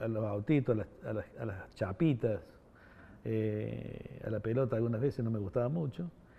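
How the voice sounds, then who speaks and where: A man talks in a medium-pitched voice. His delivery is somewhat breathy. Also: ordinary pitch variation, moderate pace. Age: 60s. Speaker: former political prisoner interviewee. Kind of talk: oral history interview. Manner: hesitant, many fillers.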